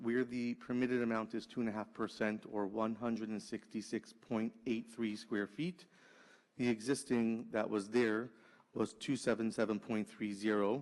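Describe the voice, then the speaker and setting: A man's medium-pitched voice, a normal speaking voice, with fairly even intonation at a moderate pace. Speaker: permit agent presenting to zoning board. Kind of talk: formal presentation at public hearing.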